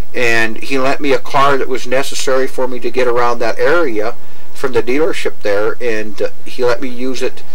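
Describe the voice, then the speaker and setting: A man's fairly even intonation at a moderate pace. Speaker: interviewee. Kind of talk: interview answer.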